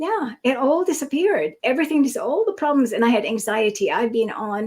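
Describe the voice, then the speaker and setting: Her high-pitched voice swings very widely in pitch as this woman speaks at a fairly quick pace. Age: 70s. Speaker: migraine researcher, scientist. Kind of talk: interview. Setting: video call.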